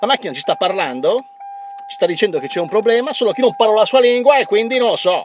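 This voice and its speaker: A man talks over light background noise. The sound is dry, with no echo. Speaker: comic vlogger. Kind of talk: comic monologue to a dog. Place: car. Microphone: phone near.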